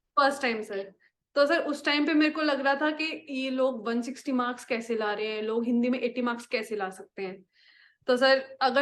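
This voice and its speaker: A high-pitched woman's voice against a quiet background. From Haryana, India. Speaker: successful exam candidate. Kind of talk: interview. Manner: polite, frequent 'sir' fillers.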